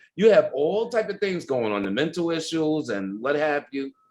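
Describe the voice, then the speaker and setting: A man's animated, fairly high voice with an American accent and very wide pitch swings, against a quiet background. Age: 60s. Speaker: ballroom culture pioneer. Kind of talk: interview.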